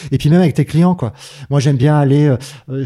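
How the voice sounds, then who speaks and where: This man's voice has a dark, mellow tone, a fairly high pitch and ordinary pitch variation. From southern France, Manosque. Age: 50s. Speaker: microbrewer. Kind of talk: casual chat.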